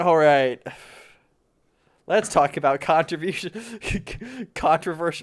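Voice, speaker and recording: The speech moves at a fairly slow pace with long, frequent pauses, on a very clean recording with a silent background. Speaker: tech streamer. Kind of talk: casual chat. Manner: energetic.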